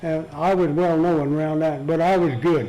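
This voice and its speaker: This man's voice sits high in pitch, and his intonation stays fairly even. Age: 80s+. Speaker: retired feed store manager. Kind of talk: oral history interview. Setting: care center interview room. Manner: halting.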